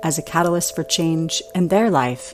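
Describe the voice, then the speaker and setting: Over music in the background, a woman with a fairly low voice speaks at a moderate pace. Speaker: podcast host. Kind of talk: podcast intro.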